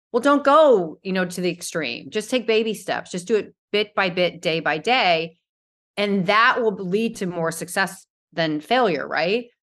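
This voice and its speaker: A woman's plain, everyday voice at medium pitch, with lively intonation and a moderate pace, over a quiet background. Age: 50s. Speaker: model and motivational speaker. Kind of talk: casual interview.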